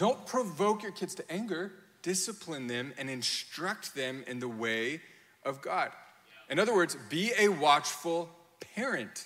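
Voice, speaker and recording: Over noticeable background noise, a man with a high pitch talks at a fairly slow pace, his pitch swinging very widely. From Europe (grew up on mission field, Germany). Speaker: pastor. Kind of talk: sermon. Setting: church with congregation. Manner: animated.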